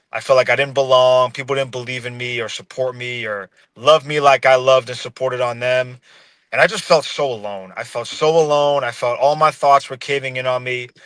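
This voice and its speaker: In a very clean recording with a silent background, a man with a normal speaking voice and medium pitch talks at a fairly quick pace, his intonation fairly even but his loudness swinging widely. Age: 20s. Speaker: podcast guest sharing personal story. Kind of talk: testimony.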